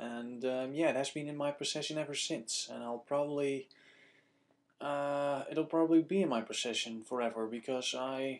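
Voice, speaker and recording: A man with a Dutch accent speaks at a moderate pace. His pitch is fairly high and his intonation fairly even. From Netherlands. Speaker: video blogger. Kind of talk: casual vlog Q&A. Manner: casual, hesitant with fillers.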